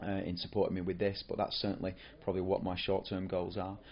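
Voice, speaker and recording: With a northern English accent, a man speaks at a very deep, low pitch. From northern England, near Rochdale. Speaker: football coach developer. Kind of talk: podcast monologue. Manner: hesitant, many fillers and repetitions.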